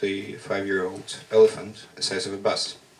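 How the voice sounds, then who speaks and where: A man speaks with a Russian accent. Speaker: workshop participant, poet. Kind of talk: spoken word poetry performance. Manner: halting.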